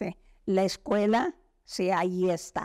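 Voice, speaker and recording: On a very clean recording with a silent background, a woman speaks at a very slow pace and medium pitch. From Mexico, San Miguel de Allende. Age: 80s+. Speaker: retired language teacher. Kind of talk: oral history interview. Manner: halting.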